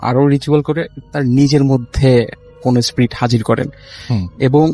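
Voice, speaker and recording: Over music in the background, a man at a medium pitch talks in a monotone, flat intonation. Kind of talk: telling a ghost story on a live horror radio show.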